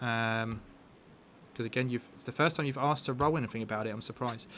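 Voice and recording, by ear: A man's medium-pitched voice with a fairly bright tone and ordinary pitch variation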